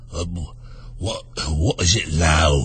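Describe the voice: Putting on a character voice, a man speaks with a very deep, low pitch, sounding hoarse and raspy.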